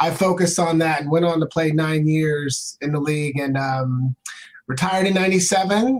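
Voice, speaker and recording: A man talks in an ordinary speaking voice with an American accent. His pitch is fairly high and his pace moderate. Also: ordinary pitch variation. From Portland, Oregon, US. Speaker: former NFL player, motivational speaker. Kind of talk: interview. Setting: live stream.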